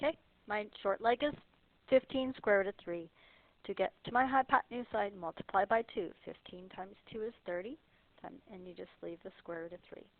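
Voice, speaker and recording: A woman with a plain, everyday voice speaks at medium pitch and a moderate pace, her intonation lively and her loudness swinging widely. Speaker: math teacher. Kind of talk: tutorial.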